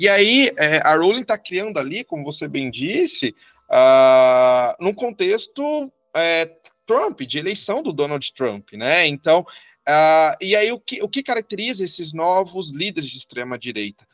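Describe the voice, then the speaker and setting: With music in the background, a man speaks at a fairly slow pace in a high pitch with very wide pitch swings, the sound dry and close with no echo. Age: 30s. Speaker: historian. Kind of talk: educational discussion.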